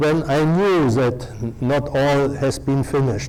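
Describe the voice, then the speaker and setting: A man with a fairly high pitch, plus audible room echo. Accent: non-native. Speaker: professor and journal editor. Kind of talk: lecture. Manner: halting, many filler sounds.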